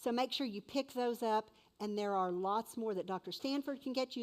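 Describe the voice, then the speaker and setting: The recording is very clean, with a silent background. A woman with a normal speaking voice talks at a medium pitch with ordinary variation. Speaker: event emcee. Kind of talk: event announcements.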